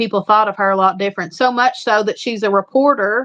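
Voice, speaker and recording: A woman with an Eastern Kentucky accent talks at a moderate pace. Her pitch is medium and her intonation fairly even. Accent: Eastern Kentucky Appalachian. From Eastern Kentucky, Appalachia. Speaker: homestead channel live streamer. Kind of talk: casual chat on a live stream. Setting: live stream with a co-host.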